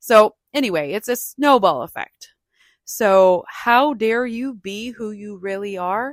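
The delivery is fairly slow, passionate and animated, with lively intonation. The recording is very clean, dry and close, with a silent background and no echo. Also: woman. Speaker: podcast host and speaker. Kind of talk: solo motivational podcast monologue. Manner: passionate, talkative, animated; conversational, reflective.

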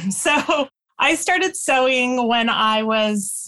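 Her high pitch and bright, sharp tone come through a very clean recording with a silent background, as this woman speaks with ordinary pitch variation. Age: 50s. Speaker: quilter and sewing teacher. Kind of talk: casual chat. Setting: podcast interview.

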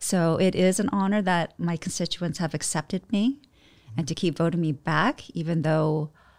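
A woman with an ordinary speaking voice and a fairly low pitch talks at a moderate pace on a very clean recording with a silent background. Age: 40s. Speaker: state politician. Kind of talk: interview conversation.

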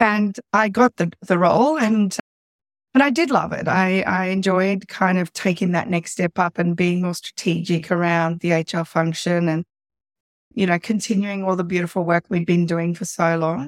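A woman with an Australian accent talks at a moderate pace and medium pitch, with ordinary pitch variation, in a very clean, dry, close recording with no echo and a silent background. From Sydney, Australia. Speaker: business coach, former HR director. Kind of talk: casual interview chat.

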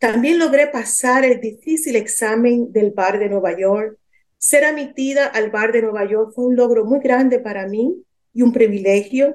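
A woman with a high voice and ordinary pitch variation speaks at a fairly slow pace. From Dominican Republic. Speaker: lawyer and author. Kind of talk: testimony.

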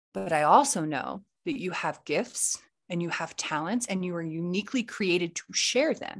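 Against a quiet background, a woman with an American accent speaks at a moderate pace. Her fairly low voice has lively intonation. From US Midwest, Kansas City area. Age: 30s. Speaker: entrepreneur and podcaster. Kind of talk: casual interview chat. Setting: remote recording from a vacation cabin. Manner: animated.

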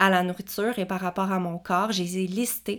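Recorded very cleanly against a silent background, a woman speaks at a medium pitch with a Quebec accent. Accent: Québécois French. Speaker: kinesiologist podcast host. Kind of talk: personal testimony. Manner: hesitant, unedited with pauses.

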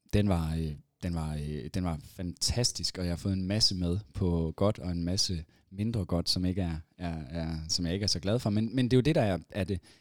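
A man with a very deep, low voice talks at a moderate speed. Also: ordinary pitch variation. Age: 30s. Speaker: entrepreneur and event organiser. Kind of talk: casual chat. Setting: studio. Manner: halting.

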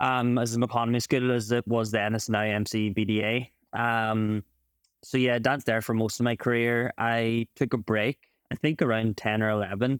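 In an Ulster accent, a man speaks at medium pitch and a moderate pace with monotone, flat intonation and very even loudness, in a very clean recording with a silent background and a dry, close sound with no echo. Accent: Ulster Irish. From Ireland, County Donegal. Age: 20s. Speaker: champion Irish dancer and physiotherapist. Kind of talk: casual interview.

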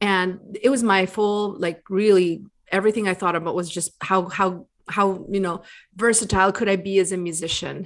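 A woman with an unremarkable speaking voice at a medium pitch speaks at a moderate pace. Her intonation is fairly even, and the background is quiet. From US and Bolivia. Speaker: music business coach. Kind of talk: interview.

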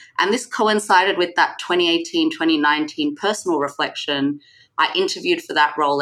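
Her tone bright and sharp, a woman talks at a moderate pace. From Sydney, Australia. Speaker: guest, professional in corporate career. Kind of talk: interview conversation.

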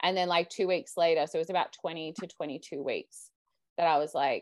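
A woman with an Australian accent speaks at a fairly low pitch with lively intonation. The background is quiet. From Australia, Sydney. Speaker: mother sharing birth story. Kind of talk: interview storytelling. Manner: casual, hesitant with many fillers.

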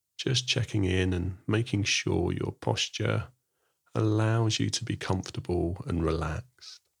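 Speaking at a fairly slow pace, a man with vocal fry uses lively intonation and a soothing, calm tone. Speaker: mindfulness teacher. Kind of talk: guided meditation; podcast monologue with guided meditation. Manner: slow, soothing, calm and gentle with unhurried pauses; soft-spoken.

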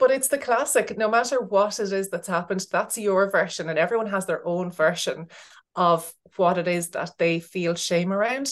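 A woman with an Irish accent speaks at a moderate pace, her medium-pitched voice showing ordinary pitch variation against a quiet background. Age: 40s. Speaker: business coach, former teacher. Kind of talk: casual interview chat. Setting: remote call.

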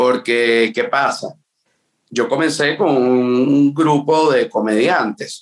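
This man talks at a very slow pace. His voice sits at a medium pitch. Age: 30s. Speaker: comedian and dentist. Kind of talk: casual chat. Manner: animated.

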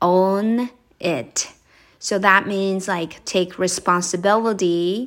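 With a Japanese accent, a woman speaks at a very slow pace and medium pitch, her intonation fairly even. The recording is very clean, with a silent background. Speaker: podcast host, English coach. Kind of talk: casual solo podcast talk. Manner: conversational, with fillers.

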